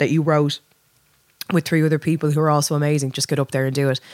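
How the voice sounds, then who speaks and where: A woman talks at a very fast pace with a very deep, low pitch and monotone, flat intonation. The sound is dry and close with no echo. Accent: Dublin. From Dublin, Ireland. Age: 30s. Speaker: lead singer. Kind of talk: casual chat.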